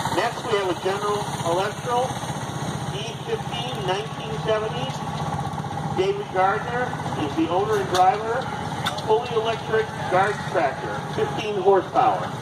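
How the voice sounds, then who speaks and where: The speaker goes at a moderate pace with long, frequent pauses over loud background noise. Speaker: parade announcer. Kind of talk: commentary. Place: open country.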